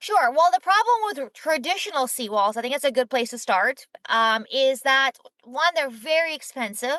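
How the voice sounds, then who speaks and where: In a raised, projected voice, a woman speaks at a moderate pace with a high pitch and lively intonation, the sound dry and close with no echo. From Ukraine, then Israel. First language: not English. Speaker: startup founder and CEO. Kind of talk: podcast interview. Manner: casual, uses filler like.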